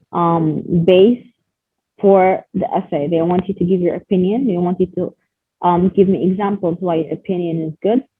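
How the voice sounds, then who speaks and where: In a normal speaking voice, a woman talks at a moderate pace. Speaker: IELTS teacher. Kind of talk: online class lecture.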